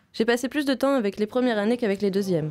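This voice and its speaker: Against noticeable background noise, a woman speaks at a very fast pace with a fairly high pitch. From Vietnam, Ho Chi Minh City. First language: Vietnamese (speaking French). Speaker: film student. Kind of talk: scripted narration.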